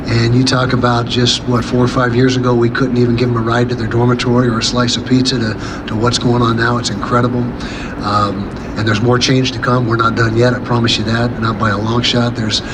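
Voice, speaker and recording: Over noticeable background noise and audible room echo, a man speaks at a fairly quick pace with a medium pitch and monotone, flat intonation. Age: 60s. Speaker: college football head coach. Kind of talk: press conference Q&A. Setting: media day press room with handheld microphones. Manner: halting, with many fillers and repeated words.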